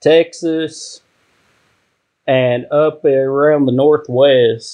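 The speaker is a man. He talks with a Kentucky accent. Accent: Kentucky Southern US. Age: 30s. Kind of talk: casual chat.

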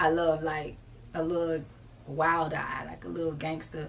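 A woman's very deep, low voice in an American accent, fairly slow with long, frequent pauses and big swings in loudness, amid noticeable background noise and audible room echo. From Jacksonville, Florida (US South). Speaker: rapper and singer. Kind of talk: interview. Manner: casual, relaxed.

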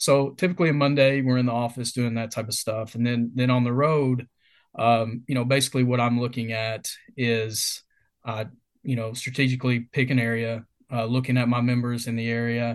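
With a Kentucky accent, the speaker moves at a fairly quick pace in a monotone, flat intonation. The background is quiet. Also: man, medium pitch for a man. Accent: Kentucky Southern US. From Kentucky, US. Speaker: retail field sales representative. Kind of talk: casual interview.

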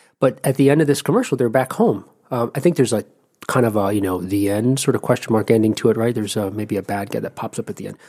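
A man with an East Coast American accent, a dark, mellow tone, ordinary pitch variation and a very fast pace. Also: medium pitch for a man. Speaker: podcast co-host. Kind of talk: casual chat with interview.

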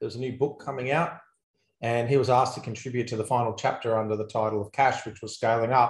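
A man with an Australian accent, very fast speech, fairly even intonation and a somewhat breathy voice. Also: medium pitch for a man. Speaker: accountant and business coach. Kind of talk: interview. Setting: video call.

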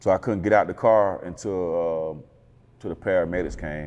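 With an American accent, a man speaks at a fairly quick pace. His pitch is very deep and low, and his intonation stays fairly even. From Atlanta, northwest side. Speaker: rapper. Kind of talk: interview. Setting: studio. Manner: laid-back, conversational.

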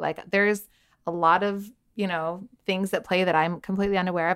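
With fairly even intonation and a fairly quick pace, a woman speaks at medium pitch in an unremarkable speaking voice, captured in a very clean recording with a silent background and a dry, close sound with no echo. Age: 30s. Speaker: lifestyle blogger and body positivity coach. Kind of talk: casual interview. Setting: in person, same room.

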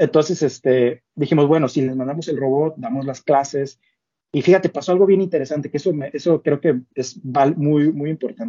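With an unremarkable speaking voice, this man talks at a moderate pace, his pitch fairly high and its variation ordinary. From northern Mexico, Ciudad Victoria. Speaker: robotics company co-founder, doctoral researcher. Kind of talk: casual interview.

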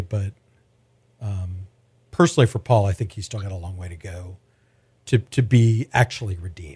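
A man with an American accent has a dark, mellow tone and a somewhat breathy voice. The sound is dry and close, with no echo. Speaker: podcast host and food editor. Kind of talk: casual interview chat. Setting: studio.

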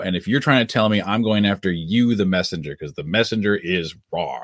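Recorded with a dry, close sound and no echo, this is an unremarkable speaking voice. The man's pitch is fairly low, with ordinary variation. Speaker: documentary director and producer. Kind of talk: casual interview chat. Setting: live stream, remote.

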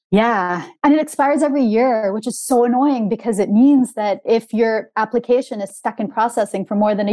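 In a high pitch with a dark, mellow tone, a woman talks at a moderate pace. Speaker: author. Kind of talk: casual interview chat. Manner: hesitant, many fillers.

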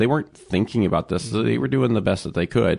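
Very wide pitch swings and vocal fry at a very fast pace, against a quiet background. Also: man. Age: 30s. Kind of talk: testimony.

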